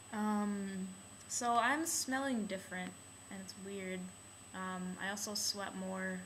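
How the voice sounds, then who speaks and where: At a very slow pace, a woman talks at a medium pitch with ordinary pitch variation and big swings in loudness. There is audible room echo and noticeable background noise. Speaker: video blogger. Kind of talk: casual vlog. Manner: hesitant, many filler ums.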